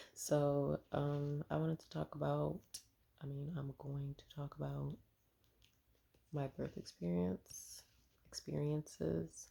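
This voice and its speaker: A soft-spoken woman talks at a very slow pace with a very deep, low pitch and a dark, mellow tone. Her pitch swings very widely. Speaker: vlogger sharing birth experiences. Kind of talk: casual personal vlog.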